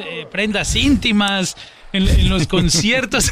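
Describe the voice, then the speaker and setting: A man's high voice at a fairly slow pace, lively in intonation, against noticeable background noise. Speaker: podcast host interviewer. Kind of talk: casual interview.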